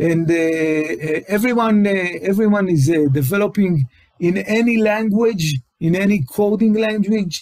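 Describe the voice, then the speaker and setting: Fairly slow speech with an Israeli accent, ordinary pitch variation and very even loudness. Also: man, high pitch for a man. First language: Hebrew. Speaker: tech company CTO, webinar presenter. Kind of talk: webinar presentation. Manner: halting, many fillers and repetitions.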